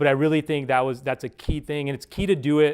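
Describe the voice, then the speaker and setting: A fairly high-pitched man's voice on a very clean recording with a silent background. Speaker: startup founder and CEO. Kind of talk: conference talk with Q&A. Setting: stage with audience. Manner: fast.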